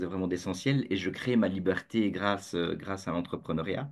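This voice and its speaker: A man speaks with a Belgian accent against a quiet background. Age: 50s. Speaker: entrepreneur, community founder. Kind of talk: interview. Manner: halting, many fillers and repetitions; joyful, jokey.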